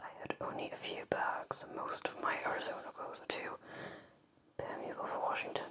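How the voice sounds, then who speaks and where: Moderate pace, whispered words, noticeable background noise throughout. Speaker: ASMR creator. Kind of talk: ASMR book reading for sleep. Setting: quiet room with candle. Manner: soft-spoken.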